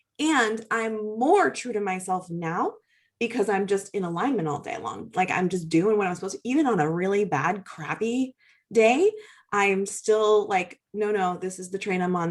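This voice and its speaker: A woman with an American accent, animated in tone, medium in pitch, with ordinary pitch variation at a moderate pace. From western Massachusetts. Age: 40s. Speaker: yoga studio owner. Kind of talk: interview.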